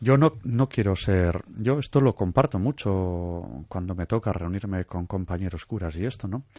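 A man with a fairly low pitch and a dark, mellow tone speaks with ordinary pitch variation and hardly any pauses. The sound is dry and close with no echo, against a quiet background. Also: fairly slow pace. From Basque Country, Santurce (Bizkaia). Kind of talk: radio interview. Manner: hesitant, many fillers and repetitions.

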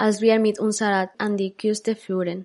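A woman with a Spanish accent speaks at a medium pitch in a monotone, flat intonation. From Barcelona, Spain (born in Ecuador). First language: Spanish (speaking German). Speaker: podcast host. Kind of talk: scripted narration.

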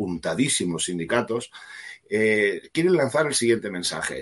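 Lively intonation and a moderate pace from a man using a normal speaking voice. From Catalonia. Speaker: politician. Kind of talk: interview.

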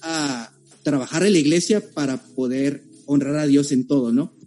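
With music playing behind him, a man talks at a fairly high pitch and a moderate speed. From Tijuana, Mexico. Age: 20s. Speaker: accountant. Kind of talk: casual chat.

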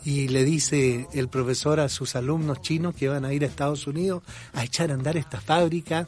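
A man talks in a fairly high, somewhat breathy voice. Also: moderate pace. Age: 60s. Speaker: opinion podcast host, journalist. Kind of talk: opinion monologue. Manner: animated.

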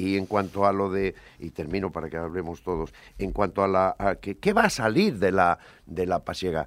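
The recording is very clean, and the background is silent. His pitch sits very deep and low for a man. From Cantabria, Spain (Buelna). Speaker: former business executive. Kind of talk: radio panel debate.

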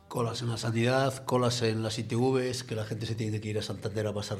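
Audible room echo surrounds a man who talks at a fairly quick pace in a medium pitch with monotone, flat intonation. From Asturias, Spain (Cudillero). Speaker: radio host. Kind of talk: opinion editorial and talk radio.

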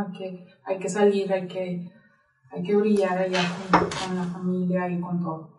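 There is audible room echo as a woman talks at medium pitch. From Mexico, Sonora (Nogales). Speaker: marathon runner and health practitioner. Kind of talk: interview conversation. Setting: studio.

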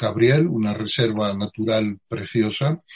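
Very slowly and somewhat breathily, a man speaks at medium pitch in a dry, close sound with no echo. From Andalusia, Spain (Utrera, Seville). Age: 60s. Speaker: Zen Buddhist teacher. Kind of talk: interview.

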